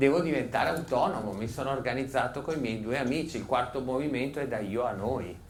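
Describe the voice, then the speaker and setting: Room echo is audible around a man with a medium pitch and a somewhat breathy voice. He moves at a moderate pace with lively intonation. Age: 60s. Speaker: psychotherapist and author. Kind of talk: public talk. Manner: animated.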